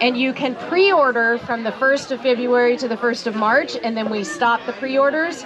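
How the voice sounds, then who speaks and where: A woman speaks with a fairly high pitch. Crowd noise fills the background, and the room echo is audible. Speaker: gardening speaker at a ranch for children. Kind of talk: talk to a live audience. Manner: loud, projecting.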